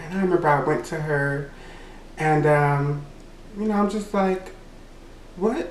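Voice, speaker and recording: With a Louisiana accent, a man speaks at a fairly high pitch with ordinary pitch variation, amid audible room echo and noticeable background noise. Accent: Southern US (Louisiana). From Louisiana (Natchitoches). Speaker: YouTuber. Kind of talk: storytime monologue.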